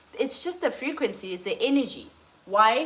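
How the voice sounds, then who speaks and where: A woman speaks over noticeable background noise. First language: not English. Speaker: lifestyle and cooking coach. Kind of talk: livestream talk.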